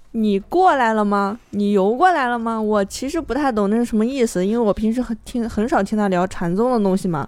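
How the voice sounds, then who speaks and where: Using a normal speaking voice, the speaker talks at a fairly quick pace with lively intonation and hardly any pauses. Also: woman, fairly high pitch for a woman. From Shandong. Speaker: writer's wife. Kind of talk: casual chat.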